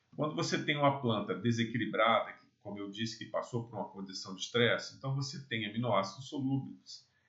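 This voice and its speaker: At a moderate pace and medium pitch, a man talks in a normal speaking voice with ordinary pitch variation, big swings in loudness and hardly any pauses. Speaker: agronomy lecturer. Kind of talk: lecture.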